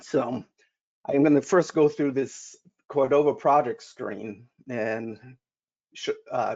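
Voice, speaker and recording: Someone with a Rhode Island accent speaks at a very slow pace, leaving long, frequent pauses. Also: man, fairly high pitch for a man, ordinary pitch variation. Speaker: software solutions engineer. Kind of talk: conference tutorial. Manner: halting, many false starts.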